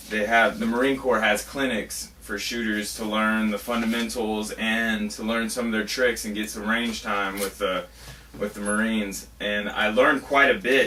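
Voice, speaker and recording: Noticeable background noise sits behind a man with an American accent. His fairly low voice moves at a moderate pace with monotone, flat intonation. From US South, Florida panhandle. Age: 20s. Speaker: competitive rifle shooter. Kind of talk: audition interview. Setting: reloading shed.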